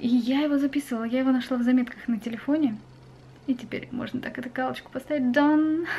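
A woman at a high pitch, very fast pace and fairly even intonation, over light background noise. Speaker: vlogger. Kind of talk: casual vlog chat. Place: home room. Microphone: webcam.

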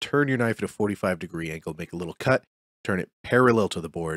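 Over a quiet background, a man speaks at a fairly quick pace in a fairly low pitch, the sound dry with no echo. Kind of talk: tutorial.

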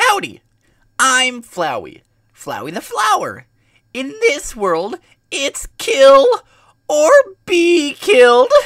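A female-sounding voice puts on a character at a high pitch. It moves at a very slow pace with long, frequent pauses.

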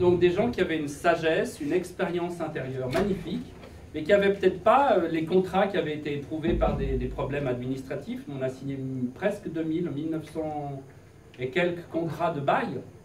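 Audible room echo and light background noise accompany a man. He talks at a moderate pace with ordinary pitch variation. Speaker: presenter. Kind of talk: lecture. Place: classroom. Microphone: camera far.

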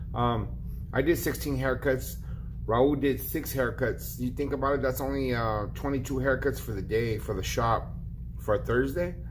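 A man talks at an average speed with noticeable noise behind him. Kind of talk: casual vlog chat. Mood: frustrated but resigned. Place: shop. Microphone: phone near.

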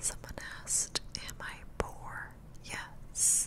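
Soft-spoken whispering comes at a very slow pace over loud background noise. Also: woman. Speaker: livestreamer. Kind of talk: casual stream chat with viewers. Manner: soft close-mic ASMR whisper. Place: home room. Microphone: studio mic.

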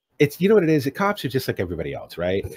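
A somewhat breathy man is heard in a dry, close sound with no echo, on a very clean recording with a silent background. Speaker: flight sim enthusiast. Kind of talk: casual chat.

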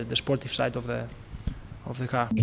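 With music in the background, a man speaks at a fairly quick pace in monotone, flat intonation. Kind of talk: interview answer. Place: garage. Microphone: handheld.

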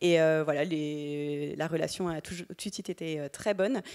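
The speaker uses fairly even intonation against a quiet background. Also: woman. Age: 30s. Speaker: startup founder; panelist. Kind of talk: panel testimony. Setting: stage with audience. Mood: warm, smiling. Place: hall. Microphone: handheld.

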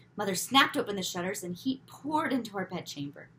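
The intonation rises and falls in a lively way. Text is being read aloud in a natural voice.

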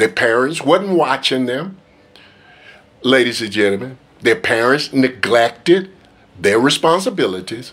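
With lively intonation, a man speaks at a medium pitch. His pace is fairly slow, with long, frequent pauses. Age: 50s. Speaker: preacher. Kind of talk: sermon. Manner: emphatic. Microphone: phone near.

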